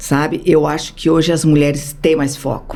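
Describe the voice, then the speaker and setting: Audible room echo and noticeable background noise around a woman's speech. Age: 60s. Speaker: social project founder. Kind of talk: podcast interview.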